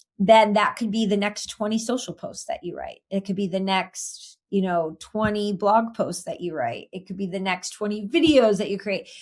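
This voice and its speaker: On a very clean recording with a silent background, an ordinary speaking voice runs at a moderate pace with ordinary pitch variation. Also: woman, medium pitch for a woman, hardly any pauses. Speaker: marketing executive for financial advisors. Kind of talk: interview.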